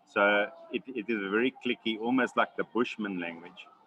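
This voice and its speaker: With a South African accent, a man speaks at a moderate pace and fairly low pitch. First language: Xhosa. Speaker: wildlife conservationist. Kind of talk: webinar Q&A answer. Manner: halting, many fillers and repetitions.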